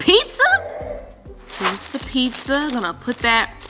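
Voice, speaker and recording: A woman talks while clear music sounds behind her. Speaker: parent vlogger. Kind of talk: casual vlog chat. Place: home room.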